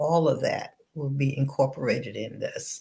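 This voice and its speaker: A woman talks at a fairly slow pace. Her voice is somewhat breathy, with a dark, mellow tone. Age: 70s. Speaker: business entrepreneur. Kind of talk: interview. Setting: studio.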